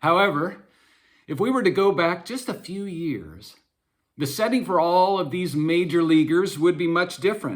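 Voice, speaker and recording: A man at a high pitch with ordinary pitch variation. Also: moderate pace. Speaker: sports camp director, storyteller. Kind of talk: told story. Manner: hesitant, many fillers.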